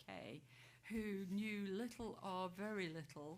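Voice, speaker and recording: A woman's somewhat breathy, fairly low-pitched voice. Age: 60s. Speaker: trade association chief executive. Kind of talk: panel discussion.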